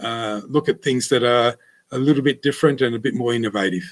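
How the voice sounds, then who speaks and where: The speaker is a man. He has an Australian accent. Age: 60s. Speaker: winemaker. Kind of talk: interview. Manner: halting, many fillers.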